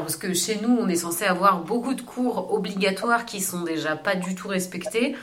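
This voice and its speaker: A woman's medium-pitched voice at a fairly quick pace with ordinary pitch variation, plus audible room echo and noticeable background noise. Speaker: podcast co-host. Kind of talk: casual interview.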